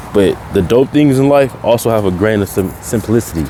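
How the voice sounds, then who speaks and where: A man's fairly low voice with ordinary pitch variation, over noticeable background noise. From Tacoma, Washington, US Pacific Northwest. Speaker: podcast host. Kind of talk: casual monologue. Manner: casual, informal.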